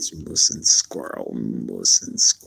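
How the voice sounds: A man's put-on character voice with an Eastern European accent, at a fairly slow pace. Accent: Slavic, Eastern European.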